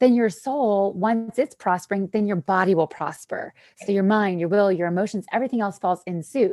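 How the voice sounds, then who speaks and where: A woman has an unremarkable speaking voice, with a medium pitch and ordinary pitch variation at a moderate pace. The recording is very clean, with a silent background and a dry, close sound with no echo. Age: 40s. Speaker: wellness speaker. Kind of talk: testimony.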